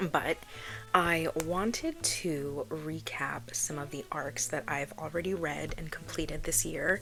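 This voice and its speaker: A soft-spoken woman talks at a fairly slow pace. Noticeable background noise runs beneath her. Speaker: book reviewer. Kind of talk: casual chat. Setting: at home.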